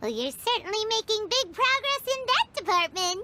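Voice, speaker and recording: A squeaky put-on character voice at an extremely high pitch and a moderate pace. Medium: video game. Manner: cheerful, energetic.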